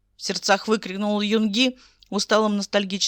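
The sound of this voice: The words are read aloud. The voice doing it is unforced.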